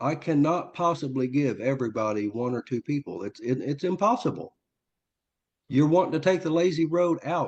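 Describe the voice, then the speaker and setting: An unremarkable speaking voice, this man talks at a moderate pace in a fairly high pitch with lively intonation. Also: quiet background. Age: 60s. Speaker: network marketer. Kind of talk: testimony. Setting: group call.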